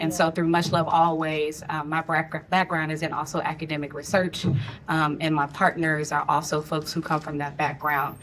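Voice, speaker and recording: A woman with an American accent at a very deep, low pitch, in a monotone, flat intonation and at a moderate pace, with noticeable background noise. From US Midwest, St. Louis, Missouri. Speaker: filmmaker and intimacy coordinator. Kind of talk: panel discussion.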